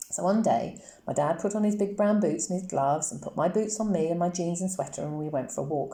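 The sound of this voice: This is an unforced reading voice whose pitch moves up and down by an ordinary amount.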